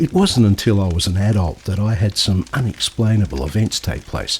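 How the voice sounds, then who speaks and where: A fairly low male voice at a fairly quick pace, with noticeable background noise. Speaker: travel magazine presenter. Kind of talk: storytelling narration to camera.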